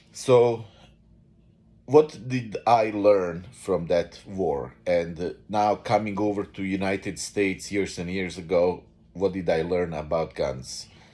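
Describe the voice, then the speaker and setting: The voice has a dark, mellow tone and a Bosnian accent, moving at a very slow pace with ordinary pitch variation. The recording is very clean, with a silent background. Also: man, very deep, low pitch for a man. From Bosnia and Herzegovina. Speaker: vlogger. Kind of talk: unscripted monologue. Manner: halting, many fillers.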